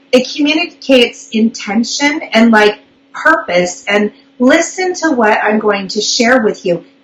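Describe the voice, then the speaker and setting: A woman speaks at a fairly slow pace in a fairly high voice with very wide pitch swings, over noticeable background noise. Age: 40s. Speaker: public speaking coach. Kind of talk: live online interview.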